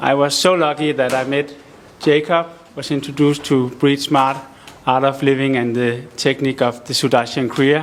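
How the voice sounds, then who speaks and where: Monotone, flat delivery at a moderate pace over noticeable background noise. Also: man. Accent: Danish. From Denmark. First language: Danish. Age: 40s. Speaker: audience member, recovering addict. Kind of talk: testimony and question.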